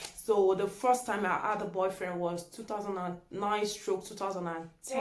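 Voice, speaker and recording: A woman talks with a Nigerian accent. There is audible room echo along with noticeable background noise. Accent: Nigerian (Yoruba) English. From Nigeria (Yoruba). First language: Yoruba. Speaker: YouTuber. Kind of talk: casual vlog chat.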